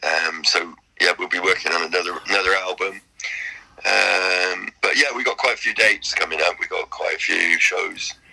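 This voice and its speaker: Speaking with a British accent, a man keeps to a moderate tempo. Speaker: blues rock guitarist. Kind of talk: interview.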